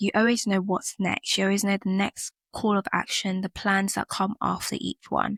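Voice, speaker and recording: In a British accent, a woman speaks at a moderate pace and medium pitch. The recording is very clean with a silent background and a dry, close sound with no echo. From UK. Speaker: podcast host. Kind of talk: personal reflective podcast monologue.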